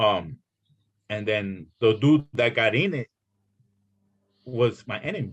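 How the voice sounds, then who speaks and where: A man speaks at a very slow pace with a medium pitch. Long pauses come often. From El Salvador. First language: Spanish. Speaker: former gang member and author. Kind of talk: casual interview. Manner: halting, many fillers and repetitions.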